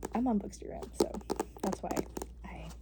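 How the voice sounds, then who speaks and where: Soft-spoken, the voice comes through over noticeable background noise. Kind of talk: ASMR book-reading video, casual talk to camera.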